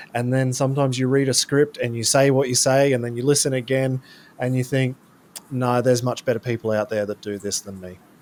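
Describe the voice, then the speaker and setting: A man with an Australian accent talks with fairly even intonation. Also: medium pitch for a man, fairly quick pace. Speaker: freestyle motocross rider. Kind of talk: casual interview.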